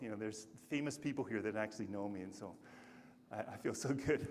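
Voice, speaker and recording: This man's speech moves fairly quickly. The room adds an audible echo. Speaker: conference speaker. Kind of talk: conference talk. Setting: stage with audience.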